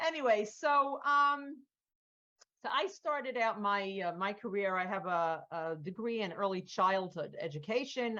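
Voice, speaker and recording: Moderate in pace, this woman has an ordinary speaking voice. Her intonation sounds lively. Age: 60s. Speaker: art workshop leader. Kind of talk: interview.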